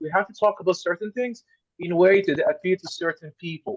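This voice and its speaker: At a fairly quick pace, a man with an Arabic accent speaks in a high pitch, the sound dry and close with no echo. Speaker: scholar. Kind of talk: panel discussion. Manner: halting.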